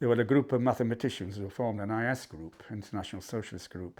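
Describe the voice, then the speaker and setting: A man with a Yorkshire accent talks at a very fast pace with ordinary pitch variation. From Yorkshire, Barnsley. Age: 70s. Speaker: history professor. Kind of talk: interview. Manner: halting.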